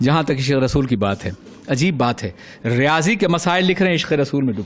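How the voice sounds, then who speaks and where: A man with a fairly high pitch speaks in a passionate tone, his pitch swinging very widely. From Manchester, UK (speaker based there). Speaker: Islamic scholar giving a religious sermon. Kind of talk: Urdu religious sermon (bayan) to a live audience. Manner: passionate, oratorical, with audience responses.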